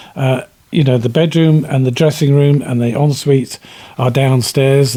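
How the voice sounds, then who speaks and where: A man with a British accent speaks at a medium pitch in a dark, mellow tone. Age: 70s. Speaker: self builder and author. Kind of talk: interview. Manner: halting.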